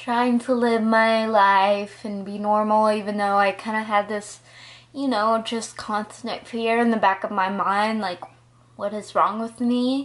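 A woman speaks at a fairly high pitch in a monotone, flat intonation. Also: fairly slow pace. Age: 20s. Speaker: college student, psychology major. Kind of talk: casual personal story to camera. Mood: earnest, reflective. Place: home room. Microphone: phone near.

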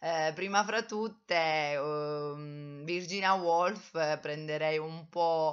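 A woman with a very deep, low pitch at a very slow pace, fairly even intonation and hardly any pauses, against a quiet background. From Italy, Abruzzo (Teramo); Abruzzo, Italy. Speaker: vlogger, writing workshop leader; vlogger. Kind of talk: personal vlog monologue. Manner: hesitant, many fillers. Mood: reflective, warm. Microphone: webcam.

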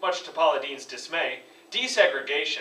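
A man's voice with audible room echo. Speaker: presenter. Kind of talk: comedic school presentation. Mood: deadpan humorous. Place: classroom. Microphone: camera far.

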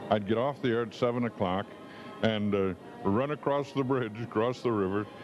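Clear music plays in the background as a man speaks at a fairly low pitch with ordinary pitch variation. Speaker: TV announcer and weatherman. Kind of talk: interview answer. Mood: reminiscing, relaxed. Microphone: handheld.

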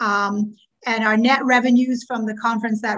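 Speaking at a moderate pace with a Canadian accent, a woman has a fairly high, bright, sharp voice with ordinary pitch variation against a quiet background. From Ontario, Canada (Scarborough). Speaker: past president of a teachers' association. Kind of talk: meeting chairing and financial report. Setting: video call. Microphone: video call.

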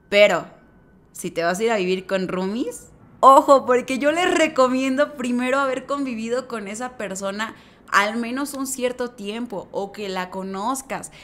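A woman talks at a fairly slow pace in a Mexican accent. Her high voice has lively intonation and an animated tone. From Mexico. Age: 20s. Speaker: lifestyle vlogger. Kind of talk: casual vlog advice. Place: home room. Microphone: studio mic.

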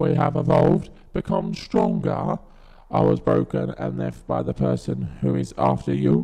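A man puts on a robotic character voice at a moderate pace. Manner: clipped, mechanical.

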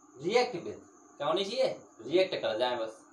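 Audible room echo surrounds a man who speaks slowly at a medium pitch with big pitch swings.

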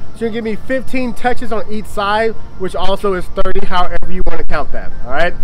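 A man with ordinary pitch variation, faint music in the background. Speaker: fitness trainer. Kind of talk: workout tutorial instructions. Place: garden. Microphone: camera far.

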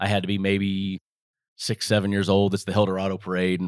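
A man with an American accent has an ordinary speaking voice, fairly low in pitch and at a fairly quick pace. The recording is very clean and dry, with a silent background and a close sound with no echo. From Las Vegas, Nevada. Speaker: retired NASCAR driver and moonshine distillery co-owner. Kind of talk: casual chat.

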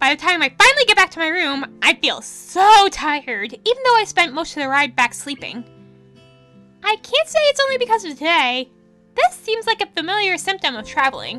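Over music in the background, a woman with an extremely high pitch and very wide pitch swings projects a raised voice at a fairly quick pace, the sound dry and close with no echo. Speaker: let's play narrator. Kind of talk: reading game text aloud.

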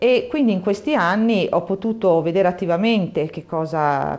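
A woman speaks with ordinary pitch variation. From Lombardy, Saronno near Milan. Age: 50s. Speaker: local politician and university mathematics researcher. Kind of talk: campaign video statement. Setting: bookshop. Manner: hesitant, many fillers and repetitions.

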